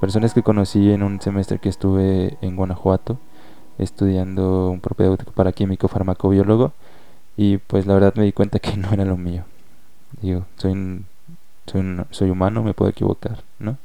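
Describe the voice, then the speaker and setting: The man's very deep, low pitch comes with a dark, mellow tone and monotone, flat intonation. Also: moderate pace. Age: 20s. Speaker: poet. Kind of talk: personal monologue with poetry reading.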